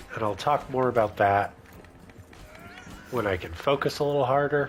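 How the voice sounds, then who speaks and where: Noticeable background noise sits behind this recording. A man speaks at a moderate pace and medium pitch. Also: ordinary pitch variation. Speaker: gamer. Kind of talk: casual gameplay commentary.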